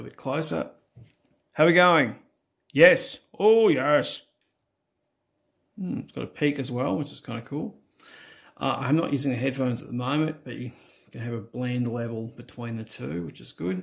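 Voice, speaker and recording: Against a quiet background, a man talks at a moderate pace with long, frequent pauses and big swings in loudness. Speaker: reviewer testing microphone. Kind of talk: casual tutorial commentary. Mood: relaxed, lightly amused. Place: home room. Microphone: phone near.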